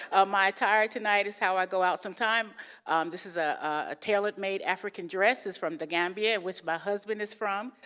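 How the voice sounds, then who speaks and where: With an American accent, a woman speaks at a fairly quick pace in a bright, sharp tone of medium pitch, with fairly even intonation, in a very clean recording with a silent background. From New York. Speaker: guest speaker. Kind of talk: interfaith talk. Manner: fast.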